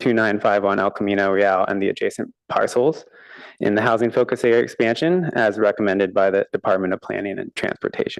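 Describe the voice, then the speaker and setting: A man talks fairly quickly, the sound dry and close with no echo. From US West Coast, Palo Alto, California. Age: 30s. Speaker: public commenter, landowner. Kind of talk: public comment at council meeting.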